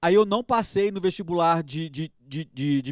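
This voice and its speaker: A man with a strong Minas Gerais accent and lively intonation, recorded in a dry, close sound with no echo. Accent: strong mineiro (Minas Gerais). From Belo Horizonte, Minas Gerais, Brazil. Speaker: dentist. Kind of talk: interview chat. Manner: halting, many repetitions.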